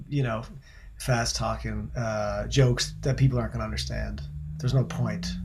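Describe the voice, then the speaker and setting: Noticeable background noise and audible room echo accompany a man who talks at a moderate pace. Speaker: singer-songwriter. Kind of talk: casual chat. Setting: video call.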